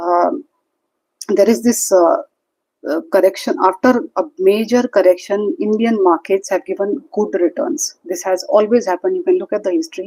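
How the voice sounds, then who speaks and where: A woman with a dark, mellow tone speaks at a fairly high pitch, her voice swinging very widely in pitch. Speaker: stock market commentator. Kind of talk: livestream market commentary. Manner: fast; hesitant with fillers.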